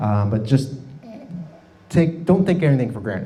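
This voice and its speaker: A man speaks at a fairly quick pace. There is audible echo from the room. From US South, Miami, Florida. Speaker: presenter. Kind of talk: presentation. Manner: fast.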